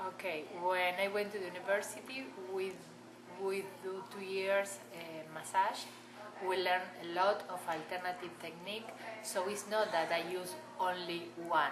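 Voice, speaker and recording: A woman's medium-pitched voice at a moderate pace with ordinary pitch variation, long and frequent pauses, audible room echo and noticeable background noise. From Argentina. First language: Spanish. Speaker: massage therapist. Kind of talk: interview.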